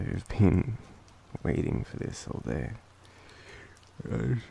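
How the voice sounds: A man with an Australian accent, fairly low pitch, big pitch swings and a slow pace, plus vocal fry, a dark, mellow tone and a slightly husky edge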